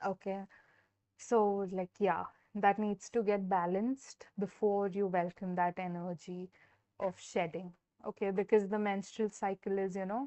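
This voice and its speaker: A woman's medium-pitched, flat monotone at a fairly slow pace. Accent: Indian. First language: Hindi. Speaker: tarot reader. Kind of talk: live stream tarot reading. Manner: hesitant, many fillers.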